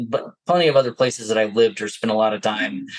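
This man's pitch is fairly low. He talks with an American accent. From New Jersey, US. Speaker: security executive. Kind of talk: casual interview chat.

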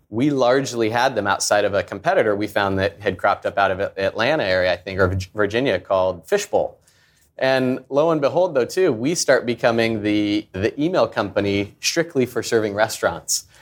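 Speaking in an American accent, the voice is a plain, everyday voice with lively intonation at a fairly quick pace. The recording is very clean, with a silent background. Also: man, medium pitch for a man. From US Pacific Northwest (Portland, Oregon). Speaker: startup founder and CEO. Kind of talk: live interview on stage.

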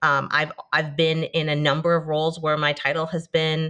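A woman with fairly low pitch speaks in a bright, sharp tone. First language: Hebrew. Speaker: marketing executive. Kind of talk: casual interview chat.

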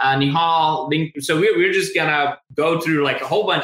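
Here a man speaks at a moderate pace. His high pitch stays fairly even in intonation. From India. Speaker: podcast host. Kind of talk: live-streamed interview.

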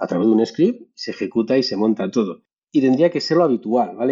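A man speaks very fast. His voice sits at a medium pitch. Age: 40s. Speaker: cloud security specialist. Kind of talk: casual chat.

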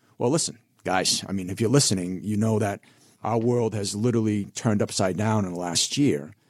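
A man talks at a fairly quick pace with a fairly low pitch and ordinary pitch variation. It is an unremarkable speaking voice. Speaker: financial advisor. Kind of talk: radio financial advice chat. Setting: studio.

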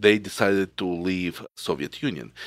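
A man with a Ukrainian accent at a moderate pace, with fairly even intonation, in a dry, close sound with no echo on a very clean recording with a silent background. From Kyiv, Ukraine. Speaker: cybersecurity expert and company founder. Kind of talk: podcast interview.

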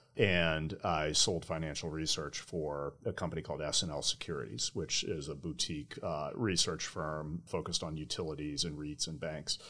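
Hardly pausing, a man with a very deep, low pitch speaks at a moderate pace with fairly even intonation. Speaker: sales executive. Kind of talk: interview. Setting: studio.

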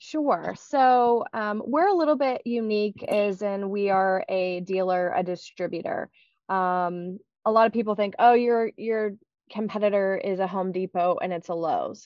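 A woman with an American accent and a normal speaking voice talks at medium pitch and a moderate pace, with ordinary pitch variation. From Pittsburgh area, western Pennsylvania. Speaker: marketing executive. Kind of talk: casual interview.

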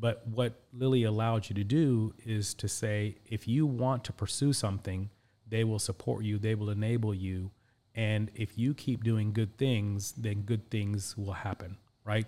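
With a Midwestern accent, a man speaks at a fairly slow pace in a fairly low pitch and a dark, mellow tone, on a very clean recording with a silent background. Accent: American Midwest. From Indianapolis, US Midwest (born in Pakistan). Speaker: career coach and executive. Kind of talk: interview. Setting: studio.

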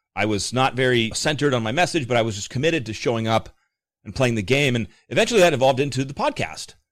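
Animated and very fast, a man talks at a medium pitch with ordinary pitch variation. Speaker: mortgage division manager and podcast host. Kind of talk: casual interview chat. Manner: animated, articulate.

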